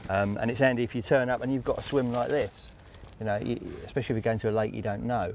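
Light background noise sits behind a man speaking. He talks at a very fast pace with fairly even intonation. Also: dry sound with no echo. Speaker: guest. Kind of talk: interview answer. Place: waterside.

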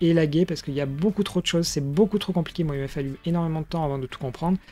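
Over light background noise, a man speaks at a high pitch with a dark, mellow tone and ordinary pitch variation. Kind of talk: tutorial.

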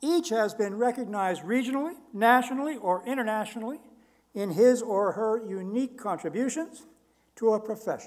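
Over a quiet background, a man talks fairly quickly in a high voice with ordinary pitch variation. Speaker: ceremony host or university official. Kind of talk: formal ceremony speech. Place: hall. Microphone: podium.

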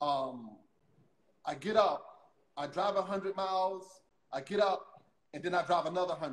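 A man with an American accent talks at a fairly slow pace with long, frequent pauses. His pitch is high, with ordinary pitch variation. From US South (Louisiana). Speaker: interview show host. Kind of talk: casual interview conversation. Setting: video call livestream. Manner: halting, repeats words. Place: home room. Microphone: phone near.

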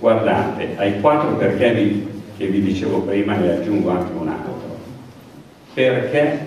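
With long, frequent pauses, a man talks at a fairly slow pace amid strong room echo and light background noise. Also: fairly low pitch for a man, lively intonation. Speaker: outgoing mayor presenting candidates. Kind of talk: campaign speech. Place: hall.

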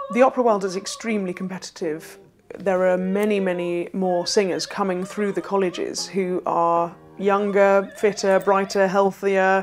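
Over faint background music, a woman with a medium pitch speaks at a moderate pace in a monotone, flat intonation. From London. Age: young. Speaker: opera singer. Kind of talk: interview answer. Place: home room. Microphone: lapel.

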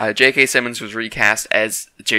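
Against a quiet background, a man speaks at a medium pitch in a bright, sharp tone, the sound dry with no echo. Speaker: YouTuber discussing movies and games; YouTuber discussing movies. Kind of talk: casual vlog commentary. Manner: halting, stuttering. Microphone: cheap mic, glitches.

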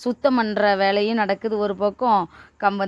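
A woman is speaking. She has a plain, everyday voice. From Tamil Nadu, Manamadurai area. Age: 40s. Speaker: poultry farmer and farming video host. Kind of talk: casual farm tutorial vlog.

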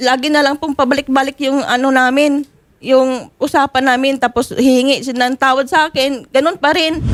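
A high-pitched woman's voice, flat and monotone, at a fairly quick pace. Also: dry, close sound with no echo. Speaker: respondent in a marital complaint. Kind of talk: testimony in a confrontation.

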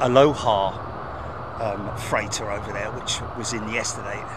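A man speaks at a fairly slow pace. Loud background noise fills the dry recording, which has no echo. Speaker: live stream host. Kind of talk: live planespotting commentary. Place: open country.

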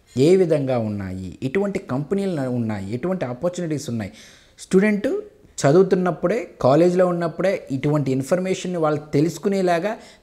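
Over a quiet background, a man with a high pitch and a dark, mellow tone speaks with lively intonation. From Andhra Pradesh, East Godavari (Mandapeta); Andhra Pradesh, India. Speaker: pharma education company chairman. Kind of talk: interview. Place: home room. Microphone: lapel.

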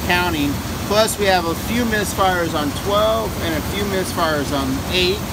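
Loud background noise surrounds the recording. Through it, a man speaks at a fairly slow pace. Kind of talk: tutorial. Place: car. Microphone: phone near.

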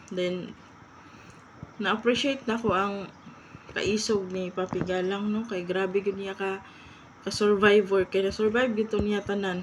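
With noticeable background noise behind her, a woman speaks at medium pitch in a monotone, flat intonation broken by long, frequent pauses. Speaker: vlogger. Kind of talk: casual commentary vlog. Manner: halting, stumbling over words.

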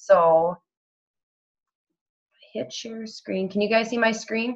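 A woman speaks against a quiet background. Her intonation is fairly even. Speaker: online fitness coach leading a training call. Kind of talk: tutorial on a group coaching call. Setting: video call with screen sharing. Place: home room. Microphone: video call.

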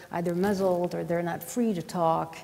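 A woman with a Quebec French accent, at a fairly slow pace. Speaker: science journalist and conference moderator; science journalist, conference moderator. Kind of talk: panel moderation. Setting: stage with audience. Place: stage.

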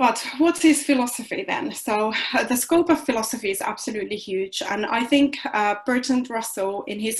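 With a Finnish accent, a woman speaks with ordinary pitch variation over a quiet background. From Finland. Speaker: philosophy doctoral researcher. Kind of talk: lecture. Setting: video call. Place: home room. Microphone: webcam.

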